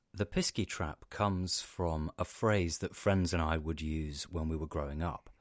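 A man's very deep, low voice at a moderate pace with hardly any pauses and fairly even intonation, dry and close with no echo, on a very clean recording with a silent background. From Cornwall, England. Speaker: podcast host, folklore storyteller. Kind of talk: scripted narration.

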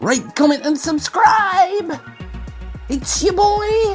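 Very slow and shrill, a put-on character voice at an extremely high pitch runs over clear music in the background. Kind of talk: influencer pitch. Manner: overexcited, loud.

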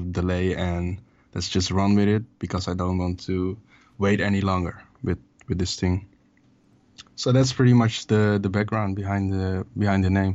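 A man with a Dutch accent speaks in a very deep, low pitch and a monotone, flat intonation. His pace is moderate, with long, frequent pauses. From Amsterdam, Netherlands. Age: 20s. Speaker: rapper, music artist. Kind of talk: casual interview. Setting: phone or video call.

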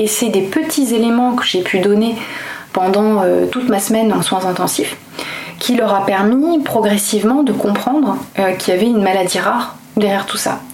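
A woman speaks at a fairly high pitch with very even loudness. The room echo is audible, and there is noticeable background noise. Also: ordinary pitch variation, moderate pace. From France, Toulouse. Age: 30s. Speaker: lawyer and comic book author. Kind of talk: testimony. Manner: halting.

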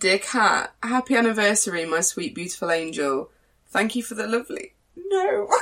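At a moderate pace, a woman with a British accent speaks at a fairly high pitch with very wide pitch swings. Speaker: podcast host. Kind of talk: casual chat.

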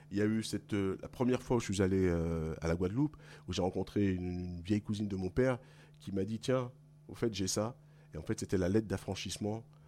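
On a very clean recording with a silent background, a man with a dark, mellow tone and fairly low pitch talks very fast with ordinary pitch variation and long, frequent pauses. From Paris region, France (Guadeloupean parents). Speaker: blues musician, singer. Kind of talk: interview.

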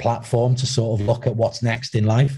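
At a moderate pace, a man speaks in a dark, mellow, somewhat breathy voice. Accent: North Wales. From Wales, Wrexham. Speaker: former footballer, academy recruitment head. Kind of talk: interview. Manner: halting.

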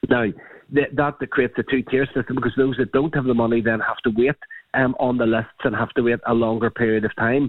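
Speaking in a Northern Irish accent, a man delivers his words at a fairly quick pace with monotone, flat intonation. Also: medium pitch for a man. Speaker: politician, party health spokesperson. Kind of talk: radio interview.

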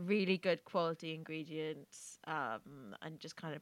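A woman speaks fairly slowly at a very deep, low pitch, with ordinary pitch variation. The sound is dry and close with no echo, in a very clean recording with a silent background. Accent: English. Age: 20s. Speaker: podcast co-host. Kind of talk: casual chat.

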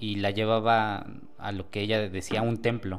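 Very slowly, a man talks at a fairly low pitch with fairly even intonation. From Mexico, Tlaxcala. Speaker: guest sharing paranormal experience. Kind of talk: testimony. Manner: halting, many repeated words.

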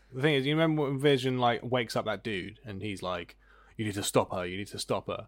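Very fast and medium in pitch, a man talks with ordinary pitch variation in a very clean recording with a silent background. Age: 20s. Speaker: podcast host. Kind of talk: casual chat.

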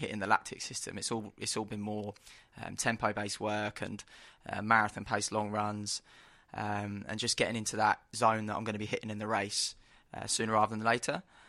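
A man with a London accent and a fairly low pitch, bright and sharp in tone, flat and monotone, at a fairly quick pace. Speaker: track runner. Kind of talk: interview. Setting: expo studio.

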